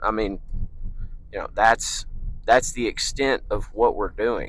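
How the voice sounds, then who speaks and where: A man talks at a fairly slow pace. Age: 20s. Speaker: fitness vlogger. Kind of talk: casual vlog monologue. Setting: in a car. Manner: hesitant, many fillers.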